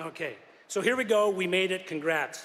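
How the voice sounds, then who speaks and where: With a Canadian accent, a man speaks at a fairly quick pace in a high pitch. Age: 60s. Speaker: school principal. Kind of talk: graduation ceremony speech. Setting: stage with audience at graduation ceremony.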